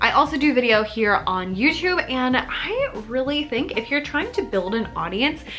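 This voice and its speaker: A woman speaks in an animated tone with lively intonation. There is music in the background. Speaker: teacher business youtuber. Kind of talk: tutorial. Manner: fast.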